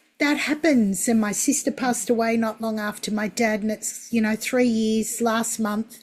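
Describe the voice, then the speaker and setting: A woman with a fairly high pitch speaks at a moderate pace in a plain, everyday voice. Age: 60s. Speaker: podcast host. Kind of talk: casual chat.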